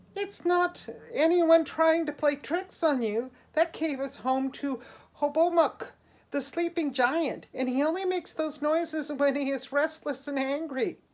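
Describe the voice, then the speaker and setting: This is a put-on character voice. It is high in pitch. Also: moderate pace. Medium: read story. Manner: light, teasing.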